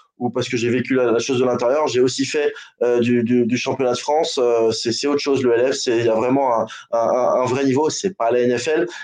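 A man with a plain, everyday voice, medium pitch, moderate pace and fairly even intonation. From American heritage. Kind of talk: casual chat.

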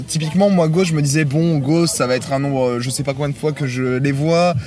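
Against music in the background, a man talks at a very fast pace in a fairly high pitch with ordinary pitch variation. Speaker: music webzine contributor. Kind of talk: casual chat. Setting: inside a tent at a festival campsite.

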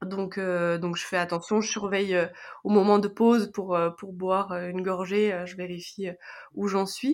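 A woman's medium-pitched voice at a very slow pace, with fairly even intonation and big swings in loudness. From France. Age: 20s. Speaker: karate athlete. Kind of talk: interview testimony.

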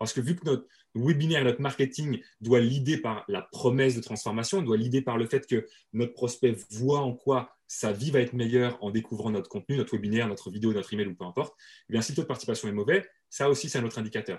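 In a very clean recording with a silent background, a man with a medium pitch and a somewhat breathy voice talks at a very fast pace with ordinary pitch variation. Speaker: webinar and marketing trainer. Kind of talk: interview.

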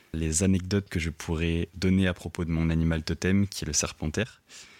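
The man's voice has a very deep, low pitch and monotone, flat intonation. He talks at a fairly quick pace. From rural southern France. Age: 20s. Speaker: sound engineer. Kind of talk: recorded self-introduction.

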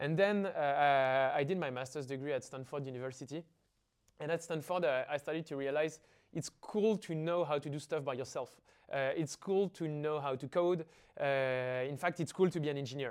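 A man with a French accent, fairly high-pitched, with ordinary pitch variation, a moderate pace and a quiet background. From Paris, France. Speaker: startup founder. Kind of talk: interview.

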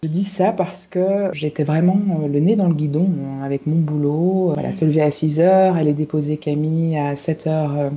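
Here is a woman with fairly low pitch and an unremarkable speaking voice. She talks at a fairly slow pace with fairly even intonation. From Belgium, Brussels. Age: 40s. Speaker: life and career coach. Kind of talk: interview.

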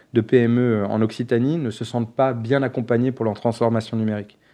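A man speaks in a dark, mellow tone with fairly even intonation against a quiet background. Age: 30s. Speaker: diversity nonprofit founder. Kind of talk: podcast interview. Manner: hesitant, many fillers.

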